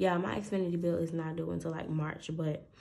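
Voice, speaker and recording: Her fairly low voice has a dark, mellow tone, and the woman keeps a moderate pace. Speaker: budgeting content creator. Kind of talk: casual vlog. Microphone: phone near.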